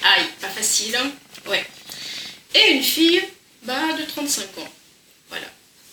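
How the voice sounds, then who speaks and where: A high-pitched woman speaks very slowly with long, frequent pauses, lively intonation and big swings in loudness, over noticeable background noise. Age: 60s. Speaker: crafts youtuber. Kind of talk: casual chat. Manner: conversational.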